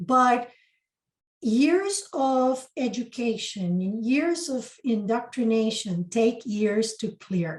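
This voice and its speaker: Speaking very slowly with a Spanish accent, a woman uses a fairly high pitch and lively intonation. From Costa Rica. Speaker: spiritual mentor and channeler. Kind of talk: interview.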